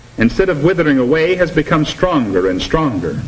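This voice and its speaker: Lively intonation marks this man's fairly high voice, which moves at a moderate pace over noticeable background noise. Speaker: narrator of educational film. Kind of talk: mid-century educational film narration.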